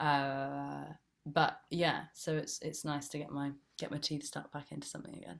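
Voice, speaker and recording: A woman speaks with a Bristol accent. Her pace is moderate. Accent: Bristolian (her natural accent). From England, Bristol area (West Country). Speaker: actress. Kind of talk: casual interview chat. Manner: chatty, lots of fillers.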